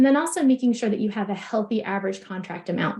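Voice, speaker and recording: Her voice is fairly high for a woman, somewhat breathy, with a dark, mellow tone and ordinary pitch variation. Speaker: practice consultant. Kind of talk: webinar presentation. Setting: online webinar. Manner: fast.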